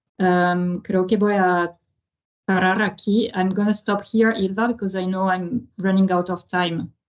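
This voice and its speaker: Speaking with a French accent, a woman uses a medium pitch and monotone, flat intonation at a fairly slow pace. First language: French (speaking Spanish). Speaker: international organization presenter. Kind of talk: webinar presentation. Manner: halting, many fillers.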